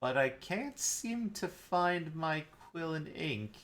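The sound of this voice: A put-on character voice, gravelly and very slow, with lively intonation. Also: man, fairly high pitch for a man.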